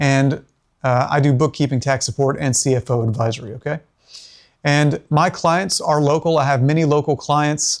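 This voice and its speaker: A man talks at a fairly high pitch with fairly even intonation. The recording is very clean, with a silent background. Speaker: bookkeeper and business owner. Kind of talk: business presentation. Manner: fast.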